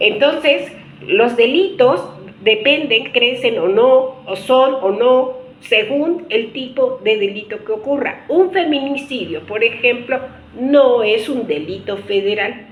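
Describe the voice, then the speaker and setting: A woman's high voice at a very slow pace, with audible room echo and noticeable background noise. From Mexico. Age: 60s. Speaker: political commentator. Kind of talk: video monologue. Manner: halting, with fillers and restarts.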